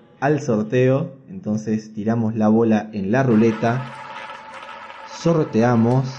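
A man with a medium pitch and ordinary pitch variation speaks at a very slow pace, leaving long, frequent pauses. His loudness stays very even, with noticeable background noise and audible room echo. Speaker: podcast host. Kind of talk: casual chat.

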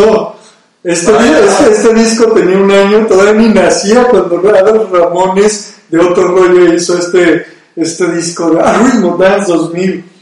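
A man's high-pitched voice, fairly slow and fairly even in intonation. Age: 30s. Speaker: radio and video podcast host. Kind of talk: casual chat.

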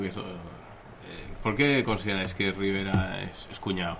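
With audible room echo, a man with a fairly low voice talks at a moderate pace, using ordinary pitch variation and long, frequent pauses. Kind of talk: casual chat. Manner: poor enunciation.

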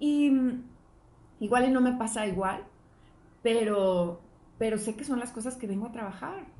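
Speaking at a fairly slow pace with long, frequent pauses, a woman has a dark, mellow, somewhat breathy tone at a fairly high pitch with ordinary variation, and audible room echo surrounds her voice. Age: 40s. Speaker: podcast co-host. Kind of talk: casual chat.

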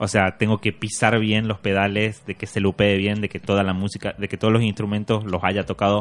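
A man with a fairly low pitch talks in a monotone with flat intonation. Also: fairly quick pace, hardly any pauses. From Argentina, Tucumán (Simoca). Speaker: musician and producer. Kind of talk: interview conversation.

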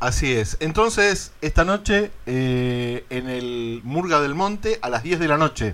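A man with an Argentine accent speaks at a very slow pace with hardly any pauses. His pitch is fairly high and swings very widely. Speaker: radio host. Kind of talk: radio interview.

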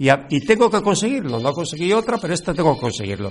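This man speaks with a high pitch. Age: 60s. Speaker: radio host and actor. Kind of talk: radio interview. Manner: halting.

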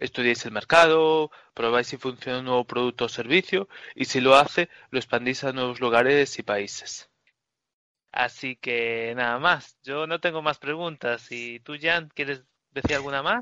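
A man's plain, everyday voice, medium in pitch, with ordinary pitch variation and a fairly slow pace. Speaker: podcast host. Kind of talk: interview.

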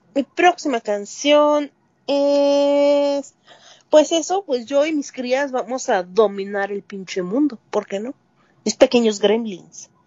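Music plays in the background as a woman speaks at a very slow pace. Her pitch is high and her intonation lively. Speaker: music podcast co-host. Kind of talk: casual chat.

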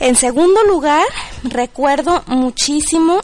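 There is noticeable background noise. A woman speaks very slowly with lively intonation. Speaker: Mexican expatriate. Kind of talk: personal testimony.

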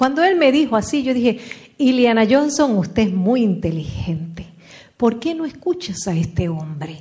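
This woman speaks at a fairly slow pace in a fairly high pitch. Her pitch swings very widely. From Puerto Rico. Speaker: motivational speaker. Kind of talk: motivational talk.

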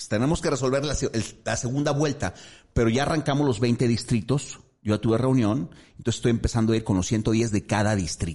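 A plain, everyday voice belongs to a man speaking at a medium pitch. He moves at a fairly quick pace with ordinary pitch variation. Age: 50s. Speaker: politician, city councillor. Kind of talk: interview.

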